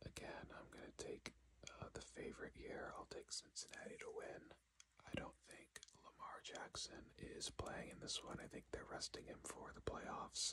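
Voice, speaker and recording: Whispering at a moderate pace, a man delivers the words. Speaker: ASMR creator / sports commentator. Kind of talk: ASMR sports predictions talk to camera. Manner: whispered, soft-spoken.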